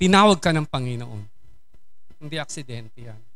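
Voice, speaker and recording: The room echo is audible. A man speaks in a fairly high voice with a bright, sharp tone. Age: 60s. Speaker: lay preacher. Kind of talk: sermon.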